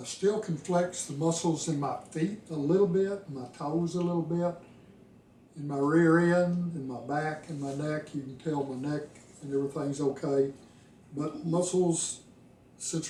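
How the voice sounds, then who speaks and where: A man talks at a moderate pace with fairly even intonation, with noticeable background noise and audible room echo. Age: 70s. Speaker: retired engineer with ALS sharing his experience. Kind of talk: personal video diary. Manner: casual, with fillers.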